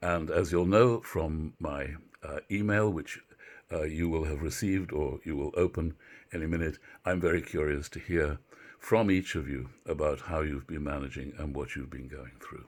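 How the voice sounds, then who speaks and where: A man with a British accent speaks at a very deep, low pitch with vocal fry and ordinary pitch variation. His moderate pace shows big swings in loudness on a very clean recording with a silent background. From Britain. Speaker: university literature professor. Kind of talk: lecture. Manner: halting, many filler words.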